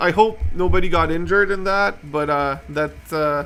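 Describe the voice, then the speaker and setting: A man with a French Canadian accent and a high pitch. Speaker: model railway streamer. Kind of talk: livestream chat. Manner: halting, many fillers.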